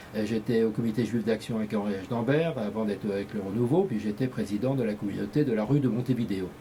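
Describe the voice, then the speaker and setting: A man talks very fast at a medium pitch, somewhat breathy, with ordinary pitch variation and hardly any pauses. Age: 60s. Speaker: candidate in a community election, engineer and business executive. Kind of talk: interview. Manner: hesitant, frequent fillers.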